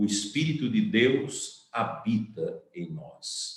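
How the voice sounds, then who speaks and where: The man's delivery is very slow. There is some breathiness to his voice. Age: 60s. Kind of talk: sermon.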